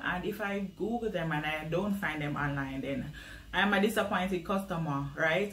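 A woman speaks at a moderate pace in a fairly low voice, with ordinary pitch variation. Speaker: small business marketing vlogger. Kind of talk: tutorial.

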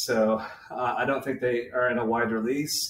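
Audible room echo sits alongside light background noise. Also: man. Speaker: spirits reviewer. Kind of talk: casual review vlog chat. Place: kitchen. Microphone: webcam.

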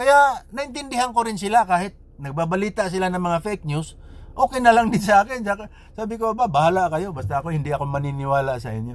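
The voice races at a very fast pace with very wide pitch swings. The sound is dry with no echo. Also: man, high pitch for a man. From Philippines. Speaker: vlogger. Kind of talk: personal storytelling monologue. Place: car. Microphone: phone near.

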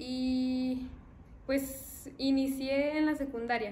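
A woman's high-pitched voice over light background noise. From Mexico, Zacatecas. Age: 20s. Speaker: young artist and university student. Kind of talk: interview testimony. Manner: hesitant, with fillers. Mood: calm, slightly shy.

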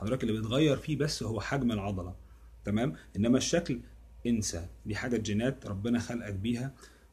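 This man's voice is somewhat breathy. He moves at a fairly quick pace with ordinary pitch variation. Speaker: fitness coach. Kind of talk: casual explanatory vlog chat. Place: home room. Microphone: phone near.

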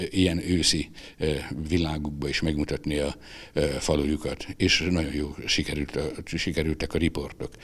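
A man keeps to a moderate pace, and the background stays quiet. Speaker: retired newspaper editor and photographer; former newspaper editor. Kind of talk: interview; interview answer. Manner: halting, with filler sounds. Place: hall.

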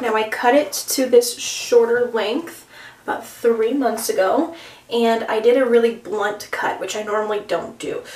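In a room with audible echo, a woman speaks at a fairly high pitch. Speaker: beauty vlogger. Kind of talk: casual vlog talk. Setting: bathroom. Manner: quiet. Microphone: phone near.

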